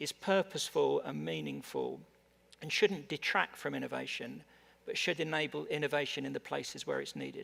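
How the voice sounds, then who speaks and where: In an English accent, the man delivers his words at a fairly quick pace. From England. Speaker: tech industry executive. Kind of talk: panel discussion. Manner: halting, many repetitions.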